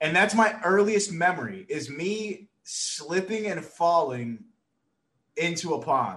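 At a very slow pace, a man speaks in a high voice. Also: ordinary pitch variation. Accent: American. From New York City. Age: 20s. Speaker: streamer. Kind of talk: casual chat.

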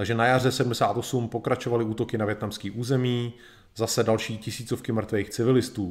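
On a very clean recording with a silent background, a man speaks fairly quickly at a medium pitch with monotone, flat intonation. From Czech Republic. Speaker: live streamer, history presenter. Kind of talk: educational lecture. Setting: live video stream.

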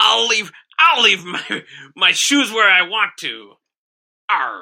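A man puts on a high-pitched character voice and speaks at a very slow pace.

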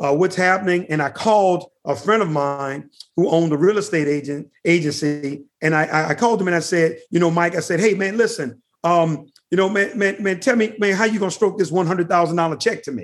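A man's high voice with an American accent at a fairly quick pace. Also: ordinary pitch variation. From New Orleans, Louisiana. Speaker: company founder and CEO. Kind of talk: interview.

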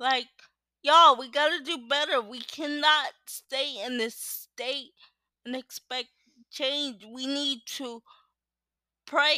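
A woman speaks very slowly in a high, bright, sharp voice that is raised and projected, with fairly even intonation. The recording is very clean with a silent background and a dry, close sound with no echo. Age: 20s. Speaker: solo podcaster. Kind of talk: casual monologue. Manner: passionate.

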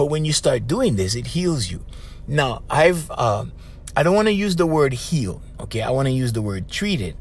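Somewhat breathy and animated, a man with a Hawaiian accent lets his pitch swing very widely. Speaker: podcast host and life coach. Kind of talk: casual monologue.

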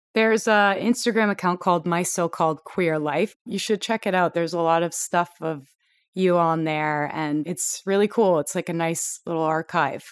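At a moderate pace, a woman with a Canadian accent talks in an unremarkable speaking voice, fairly low in pitch with ordinary pitch variation. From Toronto, Canada. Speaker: podcast host. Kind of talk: casual interview.

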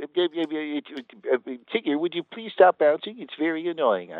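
In a put-on character voice, a man speaks at a fairly high pitch and a fairly slow pace. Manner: annoyed, fussy.

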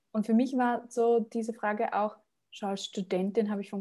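With a dark, mellow tone and medium pitch, a woman speaks at a moderate pace with fairly even intonation in a very clean recording with a silent background. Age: 20s. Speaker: career coach and entrepreneur. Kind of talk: interview.

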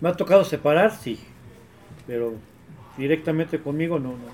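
The man talks at a moderate pace with a fairly high pitch. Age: young. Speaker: football supporters' group member. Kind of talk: casual chat.

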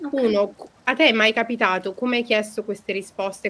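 Speech moves at a fairly quick pace with ordinary pitch variation. Noticeable background noise is present. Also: woman. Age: 20s. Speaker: podcast host. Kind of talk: casual chat, podcast conversation.

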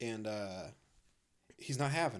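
There is vocal fry in this man's voice, along with lively intonation. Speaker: podcast co-host. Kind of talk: casual chat. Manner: animated.

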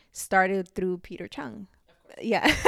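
A woman in a plain, everyday voice speaks at medium pitch and a fairly slow pace on a very clean recording with a silent background. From Puerto Rico, moved to Lynn, Massachusetts at ten. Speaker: community cycling group founder. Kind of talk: interview.

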